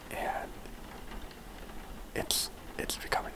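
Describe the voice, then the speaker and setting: Someone whispers while noise is clearly audible in the background. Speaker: ASMR creator. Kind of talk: casual talk to listeners. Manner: soft-spoken.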